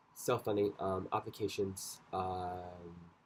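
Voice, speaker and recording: On a very clean recording with a silent background, a man with a very deep, low pitch speaks very slowly in a monotone, flat way. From Scotland. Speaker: dancer and choreographer vlogger. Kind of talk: casual vlog monologue. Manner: rambling, many fillers.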